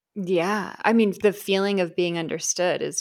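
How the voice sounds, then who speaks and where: Against a silent background in a very clean recording, a woman with an unremarkable speaking voice talks at a moderate pace in a fairly low pitch with fairly even intonation. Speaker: podcast host. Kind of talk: casual chat.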